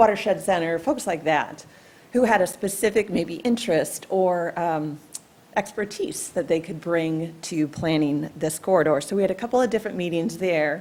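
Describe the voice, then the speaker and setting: A woman's plain, everyday voice, fairly low in pitch, at a moderate pace with ordinary pitch variation. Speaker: trail planning presenter. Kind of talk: public meeting presentation. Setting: township commission meeting.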